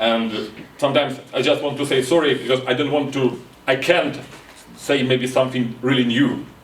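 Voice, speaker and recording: Noticeable background noise and audible room echo surround a man speaking at medium pitch and a moderate pace. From Ukraine. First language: Ukrainian. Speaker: board game designer. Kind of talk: conference talk. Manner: halting.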